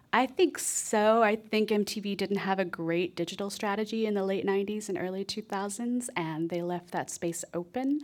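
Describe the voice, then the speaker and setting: With hardly any pauses, a woman talks in a plain, everyday voice at medium pitch, with ordinary pitch variation. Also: moderate pace. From Texas. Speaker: author and music programmer. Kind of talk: radio interview. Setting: live radio show with audience.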